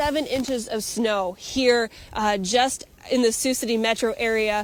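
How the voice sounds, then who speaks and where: This woman has a plain, everyday voice with a fairly high pitch. She talks at a moderate pace with fairly even intonation. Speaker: news anchor and multimedia journalist. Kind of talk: field reporter standup on location. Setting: outdoors.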